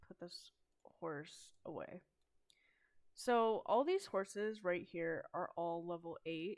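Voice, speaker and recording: A woman speaks at a very slow pace. Her tone is relaxed. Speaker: gaming YouTuber. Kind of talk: casual gameplay commentary. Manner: monotone; relaxed, hesitant with fillers.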